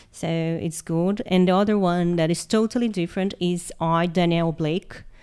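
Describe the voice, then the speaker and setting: Speaking with a Portuguese accent, a woman with a fairly low pitch and a dark, mellow tone keeps a fairly even intonation on a very clean recording with a silent background. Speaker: history teacher. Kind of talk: casual interview.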